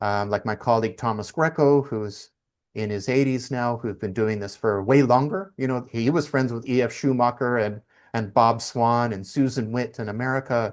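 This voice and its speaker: A man with a Canadian accent speaks at a moderate pace and medium pitch, with ordinary pitch variation over a quiet background. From Canada. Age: 50s. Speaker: community currency consultant and author. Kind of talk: interview conversation. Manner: hesitant, many fillers.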